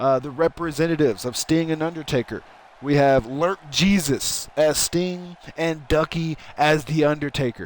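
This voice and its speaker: A man's fairly high voice carries ordinary pitch variation. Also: moderate pace. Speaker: streamer doing wrestling game commentary. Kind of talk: live commentary. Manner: loud; animated.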